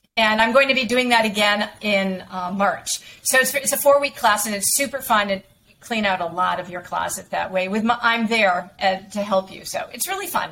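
A woman speaks at a moderate pace with a fairly high pitch and ordinary pitch variation. Her loudness swings widely, and there is noticeable background noise. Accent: American. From western Massachusetts, Springfield area. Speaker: image consultant. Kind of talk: interview.

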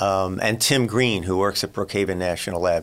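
Here is a normal speaking voice, a man with a fairly low pitch. He keeps a moderate pace with ordinary pitch variation. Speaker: wildlife biologist. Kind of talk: interview.

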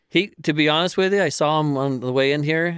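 On a very clean recording with a silent background, a man speaks in a normal speaking voice with ordinary pitch variation. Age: 50s. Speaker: oil spill response worker. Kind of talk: casual chat.

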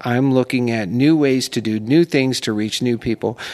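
A man with an American accent and a normal speaking voice talks at a moderate pace, medium pitch and fairly even intonation. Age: 50s. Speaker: senior portrait photographer. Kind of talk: casual interview chat. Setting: recording in a condo.

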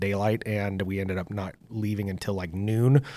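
On a very clean recording with a silent background, a man with an American accent speaks at a moderate pace in a fairly low pitch with monotone, flat intonation. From US West, south central Oregon (Lake County). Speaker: hunter and sports coach. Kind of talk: casual interview storytelling.

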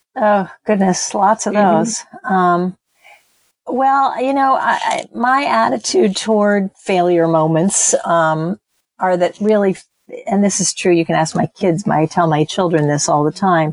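Speaking in an unremarkable speaking voice, a woman at medium pitch uses lively intonation at a fairly slow pace, with very even loudness and a dry, close sound with no echo. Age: 60s. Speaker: textile artist and small business owner. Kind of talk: interview.

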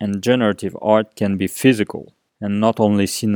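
In a French accent, a man with a dark, mellow tone speaks at a moderate pace in a monotone, flat intonation, recorded very cleanly against a silent background with a dry, close sound and no echo. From France. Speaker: podcast host. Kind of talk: podcast intro and interview.

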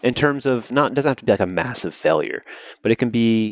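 A man with an American accent and a plain, everyday voice, medium pitch and ordinary pitch variation, at a fairly quick pace on a very clean recording with a silent background. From US South, Georgia. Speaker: podcast host. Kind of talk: interview; scripted intro.

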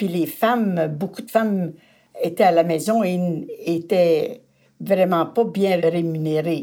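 A woman with a dark, mellow tone and fairly low pitch talks at a very slow pace, with ordinary pitch variation and big swings in loudness. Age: 80s+. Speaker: retired feminist activist. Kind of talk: storytelling interview.

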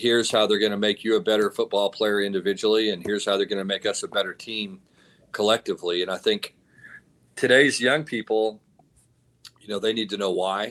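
A man with a Texan accent speaks at a fairly quick pace and a fairly low pitch, with fairly even intonation. His loudness swings widely on a very clean recording with a silent background. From Texas. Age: 50s. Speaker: college football head coach. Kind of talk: casual interview.

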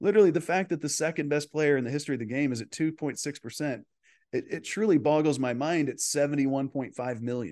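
A plain, everyday voice from a man with an American accent, fairly high and fairly slow, with ordinary pitch variation over a quiet background. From Texas. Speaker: golf coach. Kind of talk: interview.

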